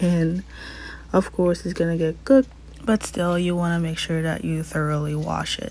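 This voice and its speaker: A woman's fairly low voice at a moderate pace, in a non-native accent, over noticeable background noise. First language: not English. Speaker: cooking instructor. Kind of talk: tutorial. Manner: casual.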